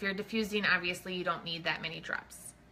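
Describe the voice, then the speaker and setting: Her unremarkable speaking voice sits at a medium pitch for a woman, with ordinary pitch variation. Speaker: essential oils presenter. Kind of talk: live online class.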